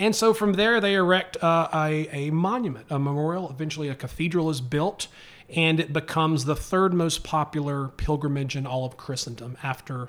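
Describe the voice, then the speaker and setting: This man speaks in a normal speaking voice, fairly high in pitch, at a moderate pace with ordinary pitch variation. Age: 30s. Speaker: podcaster and social media creator. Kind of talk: casual chat.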